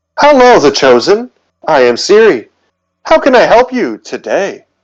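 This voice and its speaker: Against a quiet background, a man uses a put-on character voice at an extremely high pitch and a moderate pace. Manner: polite, helpful.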